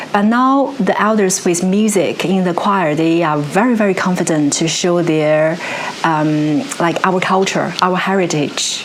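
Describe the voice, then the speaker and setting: Amid audible room echo and noticeable background noise, a woman with a Chinese accent speaks at a medium pitch and a fairly slow pace, her loudness very even. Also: ordinary pitch variation. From China. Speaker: musician and music researcher. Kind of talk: interview conversation. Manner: halting, with many fillers and restarts.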